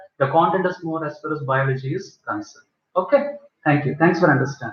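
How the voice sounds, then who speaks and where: A man speaks with ordinary pitch variation. The room echo is audible. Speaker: biology teacher. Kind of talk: online class lecture. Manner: fast.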